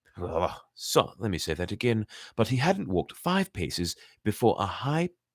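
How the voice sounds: The voice is a natural reading voice. It reads the text aloud.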